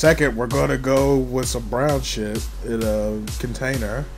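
Music plays in the background while a man speaks. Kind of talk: comedic parody makeup tutorial voiceover. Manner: joking, casual.

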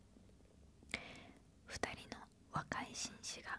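Soft-spoken and whispering, a woman talks over light background noise. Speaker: ASMR storyteller. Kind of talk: soft story reading. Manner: soft close-mic ASMR whisper. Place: home room. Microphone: handheld.

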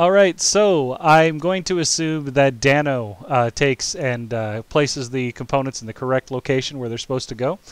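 With an ordinary speaking voice, a man speaks at a moderate pace with lively intonation. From United States. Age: 30s. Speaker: streamer and game master. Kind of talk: live-streamed tabletop game narration. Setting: live stream.

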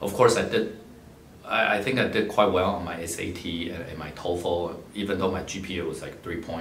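A man with a very deep, low voice speaks at a moderate pace with ordinary pitch variation, with audible room echo and light background noise. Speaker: philanthropist and scholarship donor, MBA graduate. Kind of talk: personal talk about life story and advice. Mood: calm, reflective storytelling. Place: office.

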